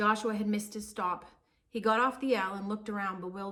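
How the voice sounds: A natural reading voice with fairly even intonation comes through.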